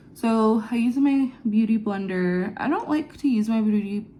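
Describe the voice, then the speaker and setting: A woman's dark, mellow, somewhat breathy voice with ordinary pitch variation. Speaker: beauty vlogger. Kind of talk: get ready with me vlog. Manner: casual, chatty.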